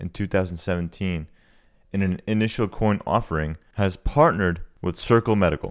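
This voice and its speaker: Moderate pacing in an ordinary speaking voice, captured on a very clean recording against a silent background. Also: man. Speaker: podcast host. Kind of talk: interview with scripted intro and outro.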